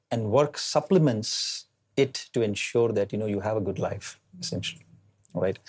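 With an Indian accent, a man speaks at a medium pitch and a moderate pace, his voice somewhat breathy and his pitch variation ordinary. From India, Delhi. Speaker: tech entrepreneur. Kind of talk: interview. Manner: hesitant, many fillers.

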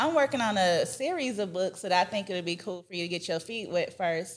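On a very clean recording with a silent background, a woman speaks with ordinary pitch variation in an unremarkable speaking voice. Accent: American. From Texas and Georgia (Dallas, Atlanta). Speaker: food safety entrepreneur and children's author. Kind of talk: interview.

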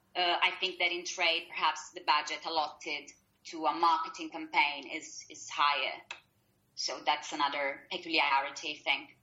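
Speaking with an Italian accent, a woman keeps a moderate pace and a monotone, flat intonation at a very deep, low pitch. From Italy. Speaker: publishing marketing assistant. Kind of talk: interview. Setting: Skype call. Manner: hesitant, many fillers.

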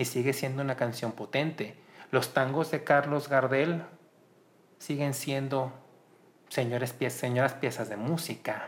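This man's voice is somewhat breathy. He talks at a fairly slow pace. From Mexico, Colima. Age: 30s. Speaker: musicologist. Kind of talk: interview.

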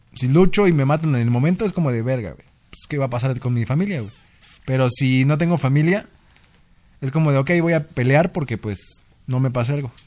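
A medium-pitched man's voice at a fairly quick pace, with ordinary pitch variation. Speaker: podcast co-host. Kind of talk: casual chat.

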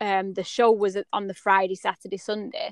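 Against a quiet background, a woman with an English accent speaks at medium pitch and a moderate pace. Her intonation is monotone and flat, in a dry, close sound with no echo. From England. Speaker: horse clipping artist. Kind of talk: interview. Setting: podcast.

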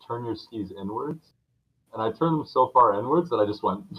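Fairly quick speech from a man at medium pitch, with ordinary pitch variation. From Canada. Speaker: podcast co-host. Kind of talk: casual chat.

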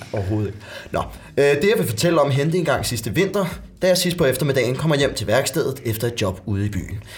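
A man at a medium pitch talks at a very fast pace with very wide pitch swings over noticeable background noise. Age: 20s. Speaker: actor. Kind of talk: casual chat, reading aloud.

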